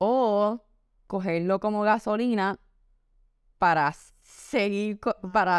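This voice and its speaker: At a fairly slow pace, a woman talks in a Puerto Rican accent. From Puerto Rico. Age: 20s. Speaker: model and beauty pageant contestant. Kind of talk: interview testimony.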